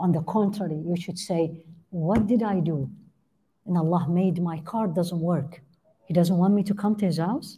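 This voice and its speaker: In an Arabic accent, a woman with a fairly low, somewhat breathy voice and a dark, mellow tone speaks at a moderate pace with fairly even intonation. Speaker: Islamic teacher and physician. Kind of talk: religious lecture. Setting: online class. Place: church. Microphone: headset.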